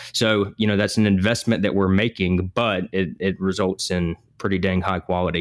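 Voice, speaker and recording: A man with a Southern US accent, very deep and low in pitch, monotone and flat, at a moderate pace with very even loudness and hardly any pauses, in a dry, close sound with no echo on a very clean recording against a silent background. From US South, South Georgia. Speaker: podcast co-host, healthcare business leader. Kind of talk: casual business discussion podcast.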